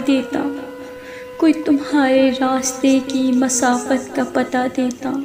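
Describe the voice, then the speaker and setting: A woman's high-pitched voice in a sad tone, with music in the background. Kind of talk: poetry reading. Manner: sad, emotional.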